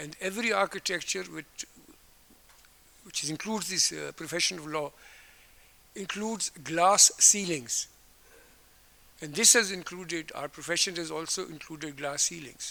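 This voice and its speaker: A man with a fairly high pitch talks with vocal fry and big swings in loudness. He leaves long, frequent pauses. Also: ordinary pitch variation, moderate pace. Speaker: retired judge. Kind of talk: formal speech. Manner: halting.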